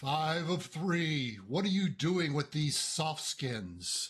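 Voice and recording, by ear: A man puts on a robotic character voice at a fairly high pitch. He talks at a very slow pace.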